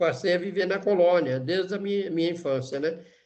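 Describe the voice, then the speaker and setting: The room echo is audible. A man speaks at a high pitch. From Brazil, northeastern Minas Gerais. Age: 70s. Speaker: leprosy survivor and author. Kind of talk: testimony.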